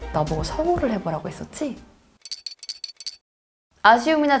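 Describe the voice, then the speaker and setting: Over music in the background, a woman speaks at a moderate pace with very wide pitch swings. She leaves long, frequent pauses. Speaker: voice actor. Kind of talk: interview answer.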